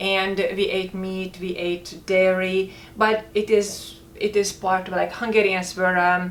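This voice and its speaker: A woman speaks in a monotone, flat intonation. Noticeable background noise runs behind her. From rural Hungary. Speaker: health food company co-founder, former model. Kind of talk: casual chat.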